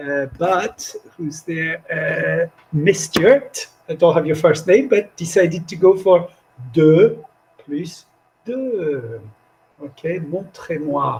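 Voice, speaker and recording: Speaking at a very slow pace with long, frequent pauses, a man uses a high voice, lively intonation and big swings in loudness. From France. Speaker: language teacher trainer. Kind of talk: live online workshop. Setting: video call. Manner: animated.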